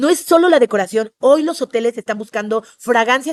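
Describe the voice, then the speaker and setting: A woman speaks in an animated tone at a fairly high pitch with ordinary variation. The sound is dry and close, free of echo. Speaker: tourism trainer. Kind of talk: webinar lecture. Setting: online webinar. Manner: fast.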